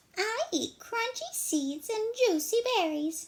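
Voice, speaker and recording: A squeaky, female-sounding put-on character voice at an extremely high pitch for a woman, delivered at a fairly slow pace. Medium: read story.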